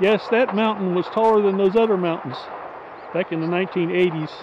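Dry sound with no echo and noticeable background noise. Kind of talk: casual vlog chat. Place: open country. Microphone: phone near.

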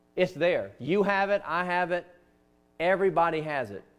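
With a Southern US accent, a man is speaking. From US South. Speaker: pastor. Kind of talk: sermon. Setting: church. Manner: earnest, conversational preaching. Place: church.

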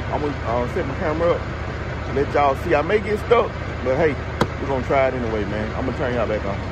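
Loud background noise surrounds a man talking very fast. His voice sounds dry, with no echo. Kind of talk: casual vlog chat. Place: forest. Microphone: phone near.

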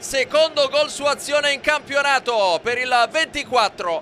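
A man speaks in a raised, projected voice at an extremely high pitch. There is noticeable background noise. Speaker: match commentator. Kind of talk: live match commentary, recapped in highlights voiceover. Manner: clipped, punchy play-by-play delivery.

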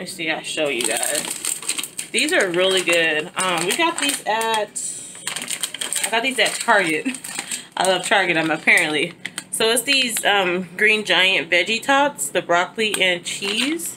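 A woman talks fairly slowly while noticeable background noise plays behind her. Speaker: mother vlogger. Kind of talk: casual vlog chat. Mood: relaxed, warm. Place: home room. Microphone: phone near.

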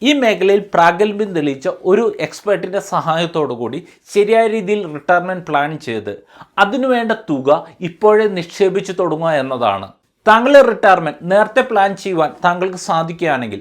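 With lively intonation, the man talks in a high pitch. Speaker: financial advisor. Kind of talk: financial video blog. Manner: formal.

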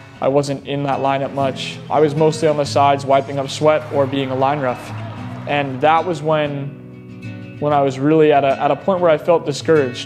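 With music in the background, a man speaks at a moderate pace in a monotone, flat intonation. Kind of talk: interview answer. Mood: reflective, earnest. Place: stadium.

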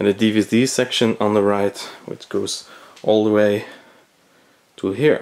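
A man with a Belgian accent and a fairly low pitch talks at a fairly slow pace, with long, frequent pauses. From Belgium. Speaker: movie collector, cinema projectionist, video blogger. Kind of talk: casual video tour. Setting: indoors at home, video recording in room. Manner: enthusiastic, slightly hesitant with repeated words. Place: home room. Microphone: phone near.

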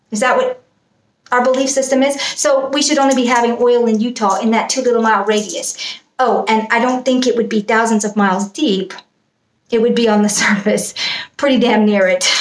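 At a fairly quick pace, a woman speaks with very even loudness and fairly even intonation, with audible room echo. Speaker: video blogger. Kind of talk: casual vlog chat. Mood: mocking, amused. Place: home room. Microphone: webcam.

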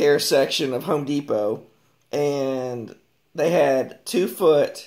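Ordinary pitch variation from a man, quiet background behind. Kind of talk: tutorial. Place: workshop. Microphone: phone near.

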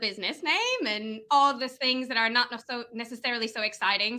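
Bubbly in tone, a woman speaks with an American accent at a fairly high pitch. Her pace is moderate, with ordinary pitch variation. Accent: sounds American. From Venezuela. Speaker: lead generation business owner. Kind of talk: casual interview chat.

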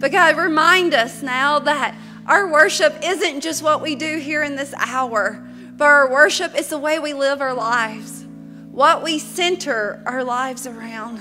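A woman's raised, projected voice shows ordinary pitch variation, with faint music in the background. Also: fairly slow pace. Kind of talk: spoken prayer. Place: church. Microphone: podium.

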